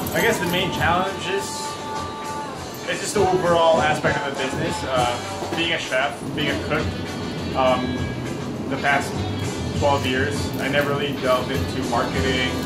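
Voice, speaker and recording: Loud music plays in the background as a man talks at a moderate pace with long, frequent pauses. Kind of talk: interview answer. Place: kitchen. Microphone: phone near.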